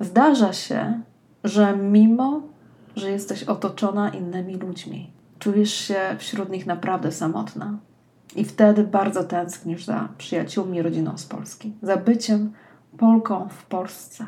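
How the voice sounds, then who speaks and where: Speaking very slowly at a medium pitch, a woman has a dark, mellow, somewhat breathy tone, fairly even intonation and big swings in loudness. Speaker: personal development coach, podcast host. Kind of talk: scripted monologue, read aloud. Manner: warm, intimate direct address.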